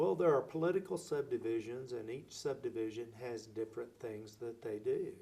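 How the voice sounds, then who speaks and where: A somewhat breathy man's voice with an American accent, medium pitch, ordinary pitch variation and a moderate pace. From Oklahoma (Lawton). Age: 60s. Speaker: city mayor. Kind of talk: interview.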